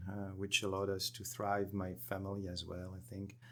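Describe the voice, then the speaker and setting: In a very clean recording with a silent background, a man talks with a French accent in a bright, sharp tone. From France. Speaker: energy company executive. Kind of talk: podcast interview.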